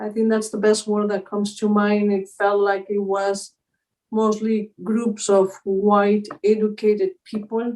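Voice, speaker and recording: A woman with a Spanish accent speaks at a medium pitch and a fairly slow pace, her intonation monotone and flat. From Spain. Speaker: mindfulness teacher. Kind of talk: interview conversation.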